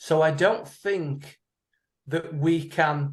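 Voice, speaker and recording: A man's somewhat breathy voice carries fairly even intonation. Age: 60s. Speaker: audience member in Q&A. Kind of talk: Q&A discussion comment. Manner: halting.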